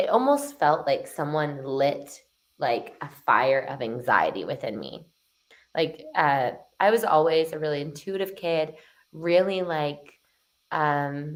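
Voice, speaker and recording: Very slowly, a woman with a Canadian accent speaks in a very deep, low voice with ordinary pitch variation. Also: big swings in loudness. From Canada, Toronto. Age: 20s. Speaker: transformation coach. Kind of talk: podcast interview.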